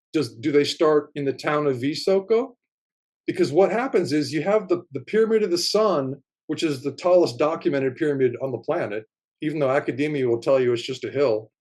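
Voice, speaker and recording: Speaking at a fairly quick pace, a man uses lively intonation. His pitch sits fairly high. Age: 60s. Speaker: writer and amateur field researcher of ancient sites. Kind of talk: casual interview conversation. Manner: animated.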